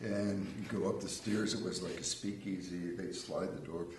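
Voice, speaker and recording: Speaking at a fairly slow pace with fairly even intonation, a man talks with an American accent. Noticeable background noise and audible room echo fill the recording. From Pennsylvania, US. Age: 70s. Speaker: winery owner and winemaker. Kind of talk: casual chat. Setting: live TV show.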